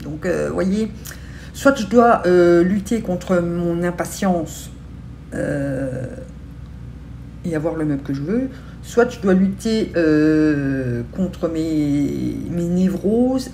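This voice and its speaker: Speaking at a very slow pace with long, frequent pauses, a woman with a fairly low voice uses lively intonation over light background noise. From Belgium. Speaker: beauty and lifestyle vlogger; lifestyle vlogger. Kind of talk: casual vlog chat to camera. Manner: hesitant with many fillers. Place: home room. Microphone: phone near.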